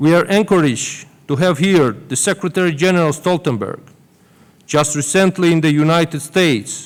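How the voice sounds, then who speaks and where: The speaker has a Georgian accent and talks at a moderate pace. Pitch varies in an ordinary way. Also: man, fairly high pitch for a man. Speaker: government minister. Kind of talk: formal welcome speech. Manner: formal.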